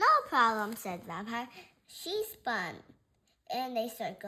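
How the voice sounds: A natural reading voice carries this clip.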